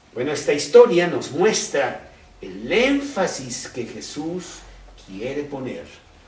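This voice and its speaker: Speaking very slowly, a man with a fairly high pitch swings his voice very widely, against noticeable background noise and audible room echo. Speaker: Bible teacher. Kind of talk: Bible study teaching.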